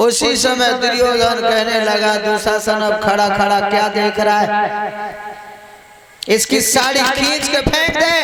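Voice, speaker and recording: A man talks with fairly even intonation and very even loudness. Noticeable background noise sits behind him. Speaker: religious storyteller. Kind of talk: devotional katha narration.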